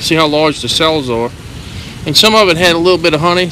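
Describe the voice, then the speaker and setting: Light background noise and a dry sound with no echo. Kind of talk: casual commentary. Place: street. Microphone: phone near.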